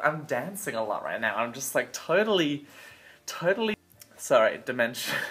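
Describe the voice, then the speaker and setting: Through noticeable background noise, a man speaks in a fairly high pitch. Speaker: spiritual teacher vlogger. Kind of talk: casual vlog teaching. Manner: rambling, halting.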